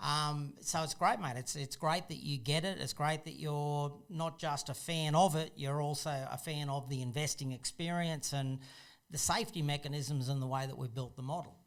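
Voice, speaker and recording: A man with an Australian accent talks at a moderate pace in a fairly high pitch, his intonation fairly even. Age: 50s. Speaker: property investor and channel host. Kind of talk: casual interview chat.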